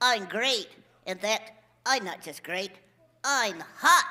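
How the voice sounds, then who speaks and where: A put-on character voice talks at a very slow pace. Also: woman, fairly high pitch for a woman. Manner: playful, comic.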